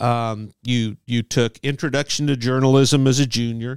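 A man with an American accent and medium pitch talks at a fairly slow pace in an ordinary speaking voice, recorded very cleanly and dry, close, and echo-free with a silent background. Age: 60s. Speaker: sportswriter. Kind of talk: casual interview chat.

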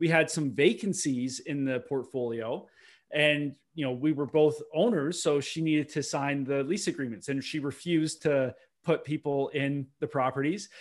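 A man with an Ontario accent, fairly high in pitch with ordinary variation, at a moderate pace on a very clean recording with a silent background. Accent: Canadian (Ontario). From Ontario, Canada (Milton, near Toronto). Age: 30s. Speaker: real estate investor and broker. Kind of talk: podcast interview.

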